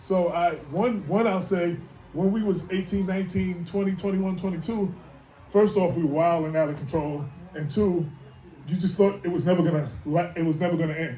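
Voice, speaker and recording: With a New York accent, a man speaks at a high pitch with fairly even intonation. Music plays in the background, and room echo is audible. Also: moderate pace. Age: 60s. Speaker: hip-hop artist and writer. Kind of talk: speaking engagement. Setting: stage with audience. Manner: casual, rambling.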